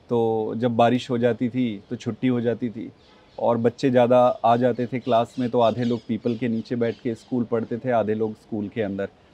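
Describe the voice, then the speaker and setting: A man speaks in a dark, mellow tone with monotone, flat intonation at a fairly slow pace. The sound is dry with no echo. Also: medium pitch for a man. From India, Chhattisgarh (village near Bilaspur); Chhattisgarh, India. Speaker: politician; interview guest, politician. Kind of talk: interview; interview answer. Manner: hesitant, frequent filler sounds. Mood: calm, reflective. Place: garden.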